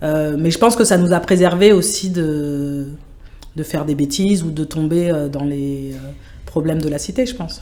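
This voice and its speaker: The voice has a dark, mellow tone with ordinary pitch variation. Room echo is audible. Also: woman. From France, Sevran (Seine-Saint-Denis). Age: 40s. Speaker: project manager in international relations. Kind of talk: interview conversation.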